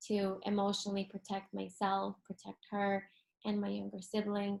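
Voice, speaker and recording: Fairly slow speech from a woman in a Spanish accent. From South America (childhood), then US from age eleven. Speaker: holistic health coach. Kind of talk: interview testimony. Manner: many fillers, casual.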